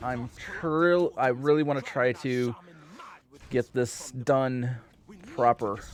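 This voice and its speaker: A man speaks at a medium pitch with fairly even intonation over noticeable background noise. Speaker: video game streamer. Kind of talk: live gameplay commentary. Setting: live stream.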